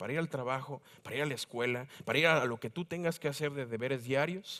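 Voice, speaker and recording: Here a man speaks with a Mexico City accent and ordinary pitch variation. His pace is fairly quick against a quiet background. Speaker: preacher. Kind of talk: sermon. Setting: church. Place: church.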